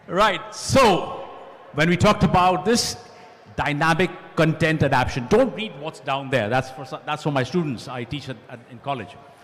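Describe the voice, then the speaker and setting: With noticeable background noise, a man at a fairly high pitch speaks at a moderate pace, showing very wide pitch swings and big swings in loudness. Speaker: panelist and college lecturer. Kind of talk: panel discussion with slide presentation.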